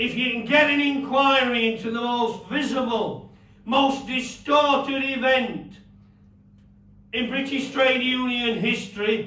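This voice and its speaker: In an audibly echoing room, a man with an extremely high voice speaks at a fairly slow pace in a monotone, flat intonation, with a Yorkshire accent. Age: 70s. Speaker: former miner and campaigner. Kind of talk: speech.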